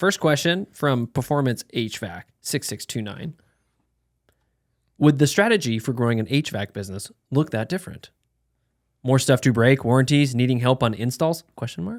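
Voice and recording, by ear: A man puts on a robotic character voice at medium pitch and a moderate pace. The sound is dry and close, with no echo.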